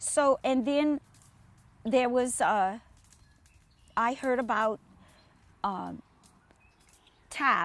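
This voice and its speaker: A high-pitched woman with a South Louisiana accent, very slow pace and long, frequent pauses, in a dry, close sound without echo. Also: ordinary pitch variation. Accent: south Louisiana bayou. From US South, south Louisiana bayou (Chauvin). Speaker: retired teacher and event organizer. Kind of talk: casual interview. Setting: outdoors. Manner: halting.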